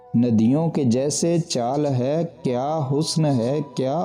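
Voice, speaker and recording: A man's fairly high-pitched voice with ordinary pitch variation over music in the background. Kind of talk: poetry reading.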